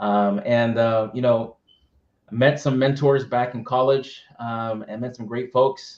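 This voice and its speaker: A man with an American accent talks at a very slow pace and medium pitch. His intonation is fairly even, with big swings in loudness. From Massachusetts, US (Methuen, Boston area). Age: 30s. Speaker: tech business development leader. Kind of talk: interview.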